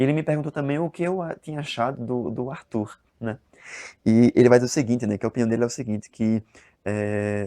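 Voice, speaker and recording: A man's medium-pitched voice, dark and mellow in tone, with ordinary pitch variation and a fairly quick pace against a quiet background. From Brazil, Northeast (interior of Alagoas). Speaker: book reviewer, video blogger. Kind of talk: casual book review vlog. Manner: hesitant, many fillers and repetitions.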